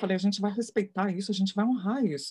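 A woman speaks with a medium pitch and ordinary pitch variation. Her voice is somewhat breathy. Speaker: photography mentor and curator. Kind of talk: live interview.

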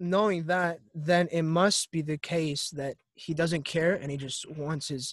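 A man's unremarkable speaking voice, fairly high and fairly slow, with ordinary pitch variation and a dry, close sound with no echo. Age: 20s. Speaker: college student. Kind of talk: casual chat.

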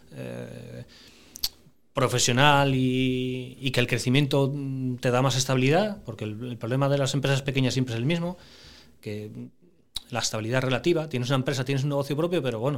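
A man's medium-pitched voice at a fairly quick pace, fairly even in intonation, with long, frequent pauses, on a very clean recording against a silent background. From Asturias, Spain (Piloña). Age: 40s. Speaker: family business manager. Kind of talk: casual interview.

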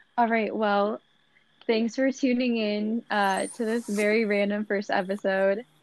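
Speaking at a fairly slow pace, a woman with a fairly high pitch keeps her intonation fairly even. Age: 20s. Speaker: podcast co-host, college student. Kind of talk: casual chat. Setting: remote recording.

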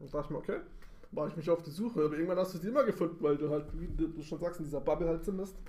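A man talks at a very fast pace. His voice sits high for a man. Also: ordinary pitch variation. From Bavaria, Munich. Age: 30s. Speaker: podcast co-host. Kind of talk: casual chat. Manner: halting.

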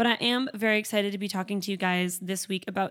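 A woman with little pitch movement and a fairly quick pace

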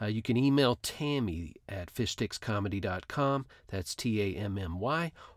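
A man with an ordinary speaking voice, fairly low in pitch with ordinary pitch variation, is heard in a very clean recording with a silent background. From North Texas, Duncanville. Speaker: comedy podcast host and improviser. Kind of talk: casual interview.

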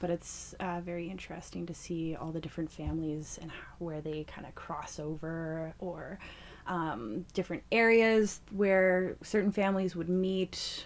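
Ordinary pitch variation and a fairly slow pace shape an ordinary speaking voice. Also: woman, big swings in loudness. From Fort Simpson, Northwest Territories, Canada. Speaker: community organizer and MC. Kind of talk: casual conversation.

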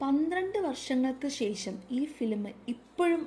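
Ordinary pitch variation and an animated tone from a woman. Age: 20s. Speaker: podcast host, film reviewer. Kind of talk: film review monologue.

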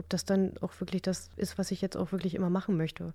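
Very clean with a silent background, the recording has a woman with a fairly low pitch, a dark, mellow tone and vocal fry speaking at a very fast pace in a monotone, flat way. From northern Germany, Stade (Lower Saxony). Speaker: sound massage therapist. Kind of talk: casual interview.

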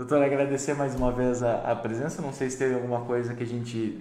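The voice moves at a fairly quick pace with monotone, flat intonation. Room echo is audible, and there is noticeable background noise. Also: man. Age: 30s. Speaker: livestream host. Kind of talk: interview. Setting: livestream. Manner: halting, repeats words.

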